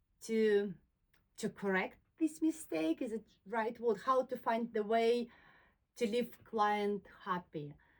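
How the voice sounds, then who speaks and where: A woman's fairly high pitch with a non-native accent, ordinary pitch variation and a very slow pace. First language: not English. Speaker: soft furnishings maker and YouTuber. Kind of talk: personal talk to camera. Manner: halting, with frequent fillers.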